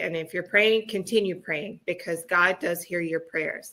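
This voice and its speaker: On a very clean recording with a silent background, a woman with a fairly low pitch speaks at a fairly slow pace in a bright, sharp tone with fairly even intonation. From US Midwest. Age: 50s. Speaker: guest, book co-author. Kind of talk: interview conversation.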